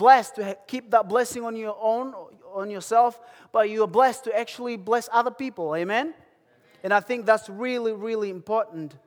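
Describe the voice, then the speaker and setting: Here a man speaks in an animated tone at high pitch, moderate pace and ordinary pitch variation. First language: African native language. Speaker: lay preacher. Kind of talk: sermon. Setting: church.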